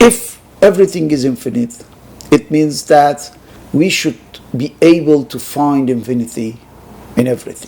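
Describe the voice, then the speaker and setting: Pausing long and often, a man with a fairly high pitch talks at a moderate pace with lively intonation against noticeable background noise. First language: Persian. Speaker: sociologist and philosophy researcher. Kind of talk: lecture. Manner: halting, many hesitations.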